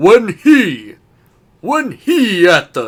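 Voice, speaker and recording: A man's high-pitched put-on character voice with very wide pitch swings. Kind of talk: lordly, formal.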